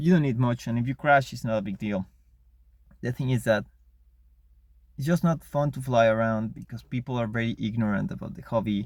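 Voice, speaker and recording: A man with a non-native accent talks at a fairly quick pace and medium pitch with ordinary pitch variation, big swings in loudness and long, frequent pauses. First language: not English. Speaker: RC model hobbyist vlogger. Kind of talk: casual monologue rant. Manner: halting, many repetitions.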